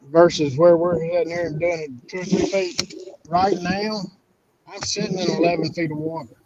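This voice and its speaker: A man with a Southern US accent talks at a fairly quick pace in a high pitch, with fairly even intonation. His loudness swings widely, and he takes long, frequent pauses. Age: 60s. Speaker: catfish angler. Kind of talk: casual chat.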